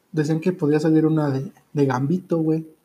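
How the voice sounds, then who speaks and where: Speaking with a Mexican accent, a man uses a fairly high pitch and a dark, mellow tone. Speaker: podcast host and streamer. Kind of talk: casual chat. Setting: live stream.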